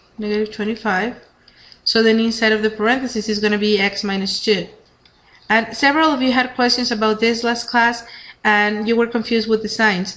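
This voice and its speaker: Room echo is audible as a woman speaks fairly quickly. Her pitch is fairly high, and her intonation stays flat and monotone. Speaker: math teacher. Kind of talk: lecture. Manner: fast.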